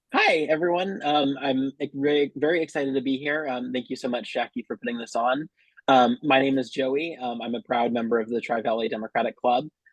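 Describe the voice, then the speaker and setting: Talking at a fairly quick pace with hardly any pauses, a man speaks in a Californian accent. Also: medium pitch for a man, ordinary pitch variation. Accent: General American, Californian. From US West Coast, San Francisco Bay Area, California. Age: 20s. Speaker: local political candidate. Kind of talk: campaign speech.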